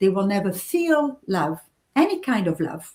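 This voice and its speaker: A woman's somewhat breathy voice sits at a medium pitch as she talks at a moderate speed. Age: 60s. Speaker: novelist. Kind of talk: interview.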